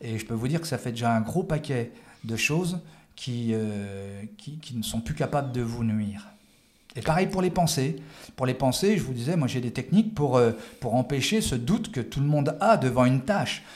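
A man talks at a moderate pace with a medium pitch. His intonation is lively and his voice is somewhat breathy. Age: 50s. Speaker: former police tactical officer and judoka. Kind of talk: interview. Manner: halting, with frequent repetitions.

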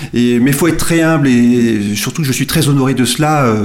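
Amid audible room echo and noticeable background noise, a man talks at a moderate pace and fairly high pitch, with ordinary pitch variation. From France, Nantes. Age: 40s. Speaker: journalist and football fan. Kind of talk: interview. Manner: hesitant with fillers and repetitions.

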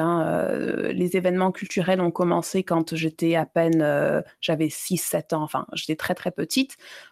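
A woman with a fairly low pitch talks at a fairly slow pace, with fairly even intonation and very even loudness, the sound dry and close with no echo. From Libya and Mali (Malian family, childhood abroad). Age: 30s. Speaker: exhibition curator and feminist blogger. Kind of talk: interview. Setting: remote call from abroad. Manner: halting with many hesitations.

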